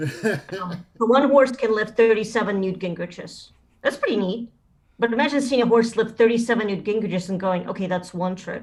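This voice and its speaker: Somewhat breathy and with a Russian accent, the speaker moves at a fairly quick pace with ordinary pitch variation. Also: woman, fairly high pitch for a woman. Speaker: stand-up comedian. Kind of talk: stand-up.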